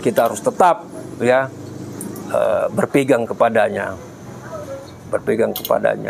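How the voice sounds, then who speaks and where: A man speaks with long, frequent pauses. Noticeable background noise is present. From Medan, North Sumatra, Indonesia. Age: 60s. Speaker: cancer patient sharing experience. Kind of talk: testimony. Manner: halting, with frequent fillers.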